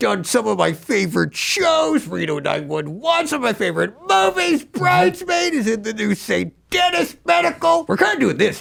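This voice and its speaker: A man puts on a high-pitched character voice with an upbeat tone. He keeps a moderate pace with hardly any pauses. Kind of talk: podcast interview. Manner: excitable, upbeat.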